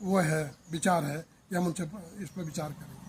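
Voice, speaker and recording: This man speaks in a high voice with fairly even intonation. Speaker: local activist. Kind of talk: street interview.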